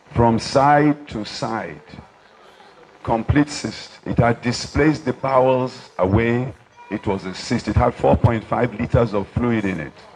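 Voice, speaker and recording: A man's medium-pitched, fairly slow speech with ordinary pitch variation, over noticeable background noise. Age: 70s. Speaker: doctor. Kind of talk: speech at an award dinner.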